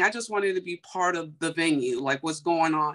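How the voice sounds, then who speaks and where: A woman with an American accent speaks at a moderate pace, her intonation lively against a quiet background. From US Midwest, Chicago. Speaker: beauty entrepreneur; guest. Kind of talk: testimony. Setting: video call. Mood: emotional, animated storytelling. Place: home room. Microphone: video call.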